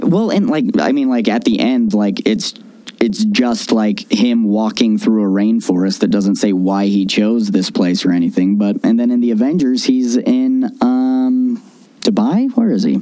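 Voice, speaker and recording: A man talks at a fairly slow pace with very even loudness while noticeable background noise plays behind him. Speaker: podcast co-host. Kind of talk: casual chat. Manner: halting.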